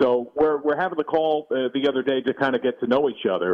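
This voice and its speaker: A man speaks fairly quickly in a normal speaking voice that sits fairly high in pitch. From New Jersey. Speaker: TV play-by-play announcer. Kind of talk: interview. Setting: at home, remote.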